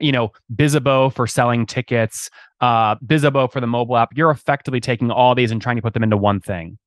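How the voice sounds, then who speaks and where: Against a quiet background, a man speaks very fast at a medium pitch, his intonation fairly even. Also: dry, close sound with no echo. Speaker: podcast host and interviewer. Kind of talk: business interview with ad read. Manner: fast talker.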